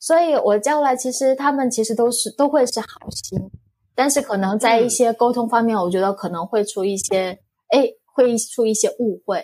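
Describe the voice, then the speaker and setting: In a Korean accent, a woman speaks at a moderate pace with a high pitch and a dark, mellow tone. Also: ordinary pitch variation. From South Korea. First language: Korean (speaking Chinese). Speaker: foreign spouse and online reseller. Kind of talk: casual interview.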